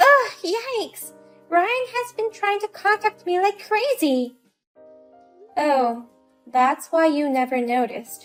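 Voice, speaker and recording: A woman uses a squeaky, put-on character voice with very wide pitch swings at a fairly slow pace. Faint music plays in the background. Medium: audio drama. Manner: sharp, scornful.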